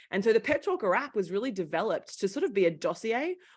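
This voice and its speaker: A woman with a strong Australian accent talks at a very fast pace, her fairly high pitch making very wide swings. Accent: Australian, thick. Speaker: founder of women's career coaching company, former journalist. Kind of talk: interview conversation. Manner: animated.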